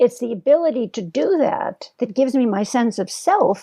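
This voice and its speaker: A woman's high voice with a dark, mellow tone, lively intonation and a moderate pace. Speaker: psychologist and professor, guest host. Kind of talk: casual conversation interview. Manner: animated.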